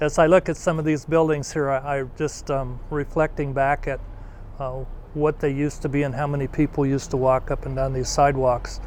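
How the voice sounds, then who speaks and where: Speaking at a fairly quick pace with an American accent, a man uses a fairly high pitch in a monotone, flat intonation. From Rantoul, Illinois, US. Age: 70s. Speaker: local resident. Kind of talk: interview.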